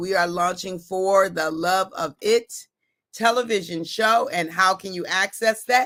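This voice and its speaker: A woman's bright, sharp tone stays animated at a fairly slow pace. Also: very clean recording, silent background. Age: 50s. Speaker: motivational speaker and livestream host. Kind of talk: live stream talk to viewers.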